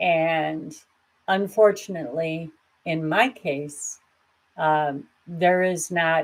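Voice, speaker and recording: A woman with a very deep, low voice speaks in fairly even intonation on a very clean recording with a silent background. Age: 60s. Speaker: grief support video host. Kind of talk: personal vlog talk. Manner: candid, conversational.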